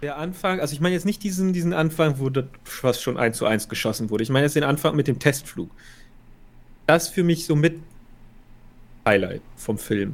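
With long, frequent pauses, a man speaks at a moderate pace in a fairly high voice with lively intonation. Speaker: film podcast co-host. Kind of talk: casual chat.

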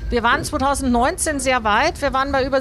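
Here is a woman with an unremarkable speaking voice. She talks at a moderate pace with ordinary pitch variation. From Bavaria, Mühldorf am Inn. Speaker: aerospace engineer and foundation founder. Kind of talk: interview. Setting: in a moving tram.

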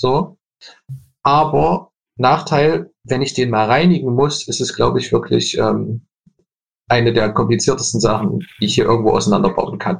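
With vocal fry and lively intonation, a man at medium pitch speaks at a moderate pace, broken by long, frequent pauses. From Leipzig, eastern Germany. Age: 20s. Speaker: furniture designer. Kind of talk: interview.

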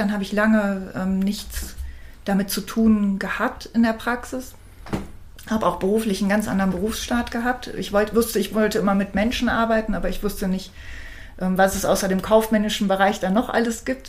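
Against noticeable background noise, a woman talks at a fairly quick pace and medium pitch with monotone, flat intonation. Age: 50s. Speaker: alternative practitioner. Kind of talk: interview. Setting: in person studio recording.

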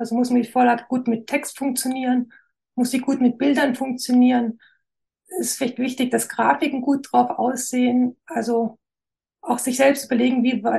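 A woman speaks in a high voice at a moderate pace. Her intonation stays monotone and flat. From Swabia, near Stuttgart (Esslingen area). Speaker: graphic designer. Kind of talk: interview.

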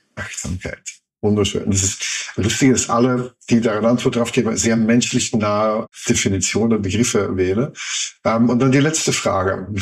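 A man's voice at medium pitch and moderate pace, with ordinary pitch variation. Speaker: podcast interviewer. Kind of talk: interview.

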